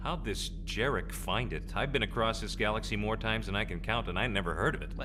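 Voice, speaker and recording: A man talks at a very fast pace. Loud background noise runs beneath his voice. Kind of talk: audio drama performance. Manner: sarcastic, joking.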